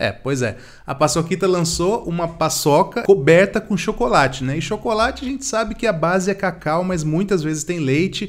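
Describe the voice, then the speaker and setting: Against a quiet background, a man with a high pitch speaks in an animated tone with lively intonation and hardly any pauses. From Brazil. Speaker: vegan youtuber. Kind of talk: casual product review to camera. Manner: fast. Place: studio.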